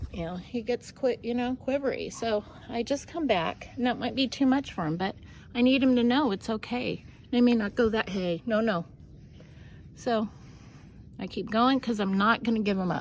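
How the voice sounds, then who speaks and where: A soft-spoken woman with a fairly high voice talks at a moderate pace with ordinary pitch variation and long, frequent pauses. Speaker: burro trainer on a ranch. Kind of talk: casual instructional narration while working with animals.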